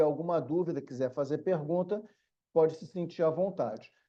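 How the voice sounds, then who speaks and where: A man with a Rio de Janeiro accent speaks at a high pitch in a dark, mellow tone. His pace is moderate, his pitch variation ordinary, and the background is quiet. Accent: carioca (Rio de Janeiro). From Brazil, Rio de Janeiro city. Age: middle-aged. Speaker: law professor. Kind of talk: online lecture. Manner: casual, conversational.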